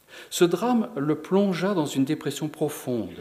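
A man with an unremarkable speaking voice, fairly slow in pace and lively in intonation. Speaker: presenter and reader. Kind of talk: lecture-style presentation, commentary between readings. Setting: lecture hall with audience.

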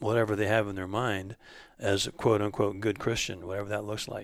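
A man speaks at a moderate pace in a plain, everyday voice, fairly low-pitched with fairly even intonation, on a very clean recording with a silent background. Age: 60s. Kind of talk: casual religious discussion. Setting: home basement recording.

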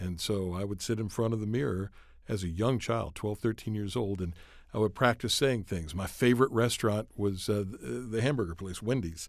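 At a fairly quick pace, an unremarkable speaking voice with an American accent and ordinary pitch variation comes through on a very clean recording with a silent background. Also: man, fairly low pitch for a man. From rural mountain area, US. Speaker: co-host. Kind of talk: scripted show host segments and conversation.

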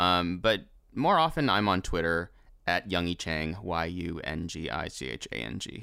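A bright, sharp tone with vocal fry, moderate pace and ordinary pitch variation, in a very clean recording over a silent background. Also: man, very deep, low pitch for a man. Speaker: dub script writer and voice actor. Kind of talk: casual chat.

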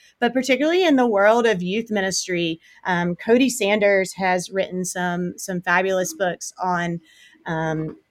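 A woman with an American accent speaks at a medium pitch, her pitch rising and falling in an ordinary way. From South Carolina, US South. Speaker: youth minister. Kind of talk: podcast interview.

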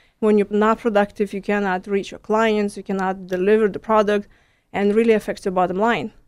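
Speaking with a Lithuanian accent, a woman talks at a fairly quick pace and medium pitch in a monotone, flat intonation. The recording is very clean with a silent background. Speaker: stress management coach. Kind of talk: radio interview.

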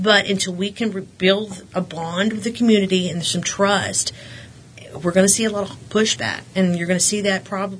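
Against noticeable background noise, a woman with a West Texas accent speaks at a medium pitch and a moderate pace with fairly even intonation. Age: 40s. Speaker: school board candidate, realtor. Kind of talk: interview. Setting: studio.

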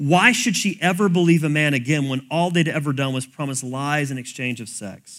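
A man talks at a fairly high pitch and moderate pace, with hardly any pauses and ordinary pitch variation. The recording is very clean, with a silent background. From US South. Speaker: pastor. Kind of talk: sermon.

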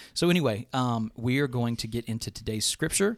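Speaking at a very fast pace, a man is heard in a very clean recording with a silent background. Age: 40s. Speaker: church podcast co-host. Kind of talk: casual chat. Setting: church studio, live streamed.

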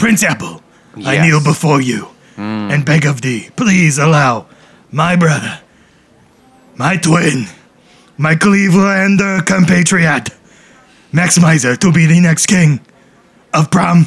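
A man with a fairly high voice speaks at a fairly slow pace, his intonation lively. He leaves long, frequent pauses. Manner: earnest, formal.

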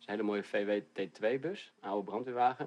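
A man speaks in a plain, everyday voice, fairly low in pitch with ordinary pitch variation, at a moderate pace. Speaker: pizza maker. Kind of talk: casual chat.

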